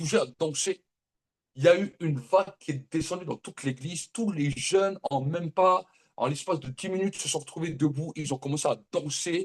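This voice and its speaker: In a dry, close sound with no echo, a man with a fairly high pitch speaks in an animated tone at a moderate pace, with ordinary pitch variation. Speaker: prophet preacher. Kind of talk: sermon.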